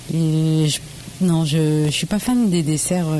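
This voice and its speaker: A woman's fairly low voice against noticeable background noise. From Normandy, France (Le Havre), Laotian family. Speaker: home cook and social media food creator. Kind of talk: casual interview.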